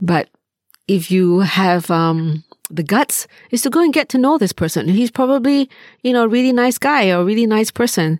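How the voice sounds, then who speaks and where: With very wide pitch swings but very even loudness, a voice speaks at a moderate pace, with a dry, close sound with no echo, on a very clean recording with a silent background. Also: woman, fairly high pitch for a woman. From Malaysia. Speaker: mindfulness charity head, podcast co-host. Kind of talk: casual chat.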